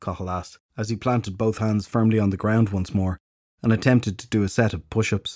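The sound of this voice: An unforced reading voice with fairly even intonation, against a quiet background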